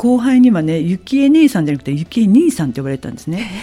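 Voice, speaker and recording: This woman's voice has a dark, mellow tone and is somewhat breathy. Her pitch swings very widely. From Kansai, Japan. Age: 50s. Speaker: salon owner. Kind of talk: interview.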